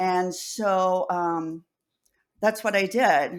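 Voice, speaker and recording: A woman's voice at a medium pitch. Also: very clean recording, silent background. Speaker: deaf advocate. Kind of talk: interview answer.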